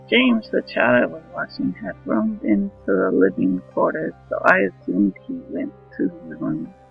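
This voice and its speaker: Music plays behind a man. He speaks at a fairly slow pace. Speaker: horror story narrator. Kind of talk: horror story reading.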